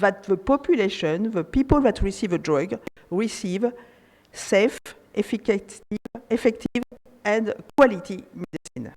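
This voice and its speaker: A woman speaks with a French accent, her fairly high pitch rising and falling in lively intonation. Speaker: panelist, regulatory affairs expert. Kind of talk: conference panel talk. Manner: hesitant, many fillers.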